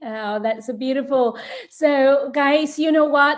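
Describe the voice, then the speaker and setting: Over noticeable background noise, a woman speaks at a fairly slow pace in a high voice. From Vietnam. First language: Vietnamese. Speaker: online business coach. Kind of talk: live stream chat.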